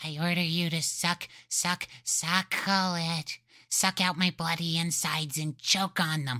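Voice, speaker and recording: A shrill, put-on character voice at a middle pitch moves at a moderate pace, broken by long, frequent pauses. The recording is very clean, with a silent background. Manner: screeching, crude and aggressive.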